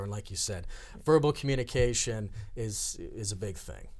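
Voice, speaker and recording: At a moderate pace, a man talks at a medium pitch with ordinary pitch variation and a somewhat breathy sound. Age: 30s. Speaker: director of a senior employment program. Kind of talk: talk show interview.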